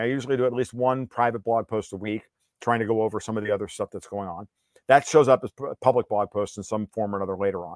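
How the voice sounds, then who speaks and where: A man with an American accent talks very fast at a medium pitch. The recording is very clean with a silent background and a dry, close sound with no echo. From US Northeast (New York). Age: 50s. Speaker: political and financial commentator. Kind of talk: interview. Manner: animated.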